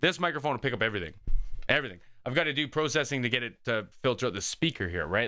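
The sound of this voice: A man with a bright, sharp tone, lively intonation and a very fast pace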